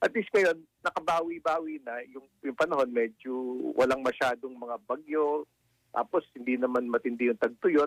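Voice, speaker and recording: The pitch varies in an ordinary way. It is an unremarkable speaking voice. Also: man, fairly high pitch for a man, moderate pace. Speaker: economist. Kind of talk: radio interview.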